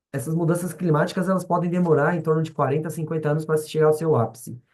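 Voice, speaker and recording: A man speaks in a fairly high voice. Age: 40s. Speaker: schoolteacher. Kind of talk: lecture. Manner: halting, many fillers and restarts.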